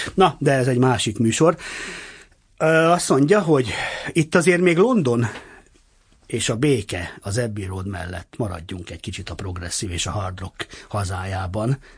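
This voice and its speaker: A man speaks at a fairly slow pace in a somewhat breathy, medium-pitched voice, with long, frequent pauses. His pitch swings very widely, and his loudness rises and falls in big swings. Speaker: radio host. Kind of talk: interview. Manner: animated.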